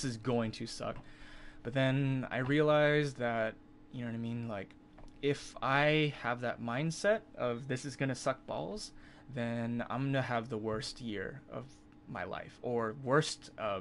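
A man talks at a fairly slow pace with ordinary pitch variation, with light background noise behind him. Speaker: live streamer. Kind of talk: casual storytelling to stream chat.

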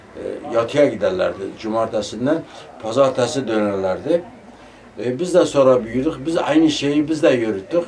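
A man at a fairly slow pace and medium pitch, lively intonation, noticeable background noise behind him. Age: 70s. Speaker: tassel maker craftsman. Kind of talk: interview answer.

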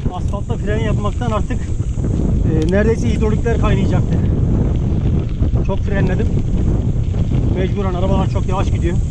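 Loud background noise runs under a dry recording with no echo. The pace is moderate, broken by long, frequent pauses. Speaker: mountain biker vlogger. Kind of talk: casual vlog chat. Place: bicycle.

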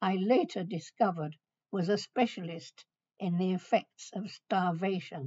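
A woman with a British accent talks at a fairly slow pace, somewhat breathy, with fairly even intonation against a quiet background. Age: 80s+. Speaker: retired adult education pioneer. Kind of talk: recorded message to students. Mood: warm, gently humorous. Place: home room. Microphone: webcam.

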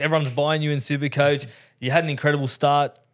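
The speaker is a man with an Australian accent. He talks fairly quickly against a quiet background. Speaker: podcast host. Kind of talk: casual chat. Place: studio. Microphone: studio mic.

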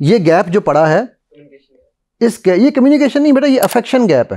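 A man's high voice with very wide pitch swings over a quiet background. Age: 50s. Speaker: motivational speaker and NLP trainer; motivational speaker, NLP trainer. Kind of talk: talk to a live audience. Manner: animated. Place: studio.

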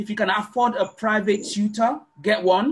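A man speaks at a high pitch. His pace is fairly slow. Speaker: class organizer. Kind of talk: online meeting facilitation. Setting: video call. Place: home room. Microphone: webcam.

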